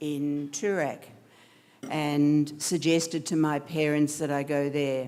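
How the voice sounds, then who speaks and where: At a very slow pace, a woman speaks with a very deep, low pitch, a dark, mellow tone and fairly even intonation, recorded very cleanly against a silent background. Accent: Australian. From Australia, Melbourne. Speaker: architect, guest speaker. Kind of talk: speech to an audience.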